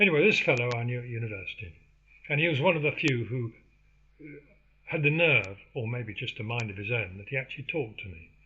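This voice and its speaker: With an English accent, a man talks at a very fast pace and medium pitch, his intonation lively and his loudness swinging a lot. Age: 70s. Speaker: podcaster. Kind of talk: casual monologue. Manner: halting, many fillers.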